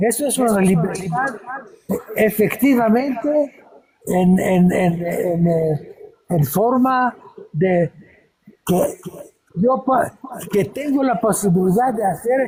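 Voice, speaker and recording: Speaking very slowly with long, frequent pauses, a man uses a high pitch and lively intonation while keeping his loudness very even. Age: 80s+. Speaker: painter and musician. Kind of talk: casual chat. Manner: halting.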